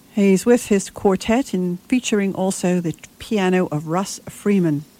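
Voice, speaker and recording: Fairly slow delivery in a plain, everyday voice, showing ordinary pitch variation. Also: woman. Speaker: radio host. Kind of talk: radio DJ patter introducing vintage big band records. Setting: studio. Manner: warm, unhurried, polite and gently conversational.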